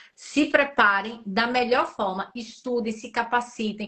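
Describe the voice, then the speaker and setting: The woman's voice is high in pitch. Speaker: entrepreneur. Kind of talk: live stream interview.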